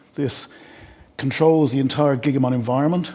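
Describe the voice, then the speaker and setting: A man with an Irish accent talks at a fairly quick pace, his pitch fairly high with ordinary variation. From Ireland. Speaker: sales engineer. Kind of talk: webinar product demo. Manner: fast.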